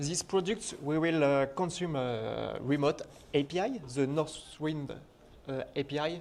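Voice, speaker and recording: A man with a French accent, fairly high in pitch, at a fairly slow pace and with fairly even intonation. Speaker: conference speaker, software developer. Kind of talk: technical conference talk.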